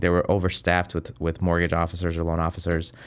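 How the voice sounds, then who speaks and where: A man talks at a fairly quick pace. He has an American accent. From US Midwest, Chicago. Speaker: mortgage lender. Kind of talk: interview. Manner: casual, halting with fillers.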